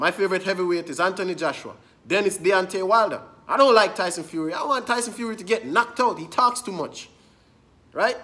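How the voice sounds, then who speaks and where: A man speaks at a very fast pace in a raised, projected voice, high in pitch, with ordinary pitch variation and big swings in loudness. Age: young. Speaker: boxing commentator. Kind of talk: angry rant. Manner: indignant, repetitive, emphatic; fast, insistent, addressing viewers directly. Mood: annoyed, ranting. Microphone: phone near.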